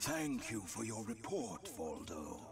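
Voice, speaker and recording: A man puts on a cartoonish character voice at a medium pitch. He speaks at a fairly slow pace over loud background music. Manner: measured, authoritative.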